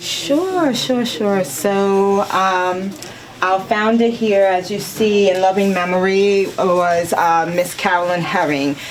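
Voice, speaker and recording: Amid noticeable background noise and audible room echo, a woman speaks very slowly at a medium pitch, with very even loudness and ordinary pitch variation. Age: 50s. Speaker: spokesperson for a senior dance group. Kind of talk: interview.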